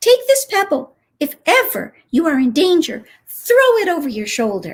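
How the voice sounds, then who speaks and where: Putting on a squeaky character voice, a woman speaks at a moderate pace with an extremely high pitch and very wide pitch swings. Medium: read story.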